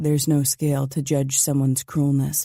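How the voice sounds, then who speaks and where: In a put-on character voice, the speaker delivers raspy, monotone, flat lines at a low-to-middle pitch and moderate pace, on a very clean recording with a silent background. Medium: read story. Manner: clipped, authoritative.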